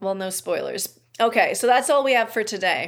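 An ordinary speaking voice with ordinary pitch variation at a moderate pace, in a very clean recording over a silent background. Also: woman. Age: 40s. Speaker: podcast host, almost-ordained minister. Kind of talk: casual chat.

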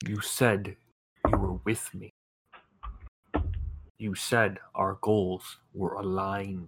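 A man's put-on character voice, fairly low-pitched for a man, very slow and fairly even in intonation, with long, frequent pauses. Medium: actual play. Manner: menacing, cryptic.

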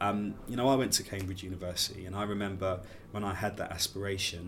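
Music plays in the background as someone talks at a fairly quick pace. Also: man. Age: 30s. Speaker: care leaver and event founder. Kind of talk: interview conversation.

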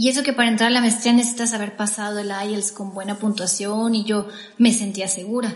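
Over noticeable background noise, a woman talks at a fairly quick pace with monotone, flat intonation. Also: fairly high pitch for a woman. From Mexico. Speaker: podcast co-host. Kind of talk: personal storytelling.

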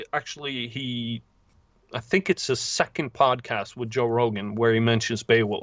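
A man with a Norwegian accent talks at a fairly slow pace in a medium pitch, his voice dry and close with no echo. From southern Norway. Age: 30s. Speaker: novelist. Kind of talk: casual interview.

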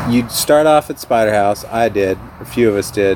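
Against noticeable background noise, a man speaks at a moderate pace with a fairly low pitch. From Austin, Texas. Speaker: live music fan. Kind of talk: casual chat. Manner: animated.

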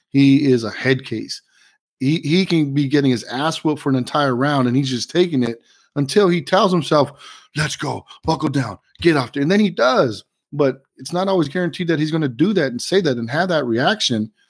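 An unremarkable speaking voice from a man, fairly quick in pace with ordinary pitch variation, on a very clean recording with a silent background. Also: fairly high pitch for a man. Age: 40s. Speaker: podcast co-host and real estate agent. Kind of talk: casual chat.

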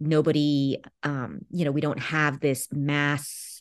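Speaking with a Californian accent, a woman with a very deep, low pitch talks at a fairly slow pace against a quiet background. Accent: Californian American English. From Los Angeles, California. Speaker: author and English professor. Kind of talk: interview. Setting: radio interview.

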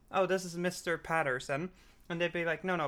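This woman's pitch is very deep and low. The recording is very clean, with a silent background. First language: not English. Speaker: podcast co-host. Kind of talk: casual chat. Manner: hesitant, many fillers.

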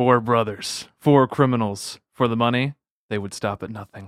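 A man in a put-on character voice, medium in pitch, at a moderate pace. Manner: dramatic, ominous.

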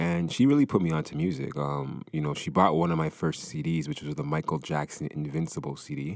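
A man's very deep, low voice at a fairly quick pace, with fairly even intonation and hardly any pauses. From Canada, Brampton, Ontario. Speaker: music industry entrepreneur. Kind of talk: casual interview.

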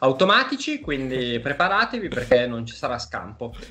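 A man's fairly high-pitched, normal speaking voice at a moderate pace. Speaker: gaming media executive. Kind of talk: live-streamed discussion. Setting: video call. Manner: analytical.

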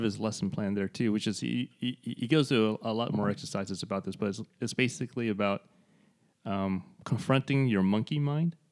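An ordinary speaking voice from a man of medium pitch, ordinary pitch variation and moderate pace, dry and close with no echo on a very clean recording with a silent background. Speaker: podcast co-host and artist. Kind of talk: casual conversational podcast chat.

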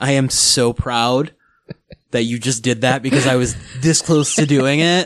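A man talks at a fairly slow pace in a plain, everyday voice, with medium pitch, fairly even intonation and very even loudness. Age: 30s. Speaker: podcast co-host. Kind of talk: casual chat.

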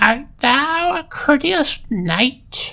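The speaker puts on a character voice. That voice sits high in pitch. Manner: eerie.

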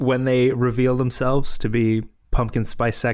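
The clip features a natural reading voice. That voice carries through the whole recording.

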